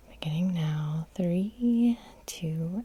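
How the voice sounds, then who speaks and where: A woman's gentle-toned voice against noticeable background noise. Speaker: hypnotherapist. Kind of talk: guided hypnosis session. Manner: soft-spoken, gentle.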